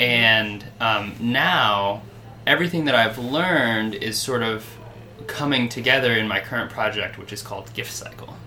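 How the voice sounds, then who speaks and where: Over noticeable background noise, a man with an American accent speaks at a moderate pace. His medium pitch shows ordinary variation, and his loudness swings widely. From Michigan. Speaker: traveling gift project founder. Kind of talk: interview. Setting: at someone's home, not a studio. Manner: halting.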